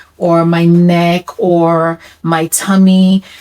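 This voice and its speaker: There is noticeable background noise. Through it, a woman speaks at a fairly low pitch with fairly even intonation. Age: 40s. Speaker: vlogger sharing personal health story. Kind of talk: personal testimony vlog. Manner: conversational.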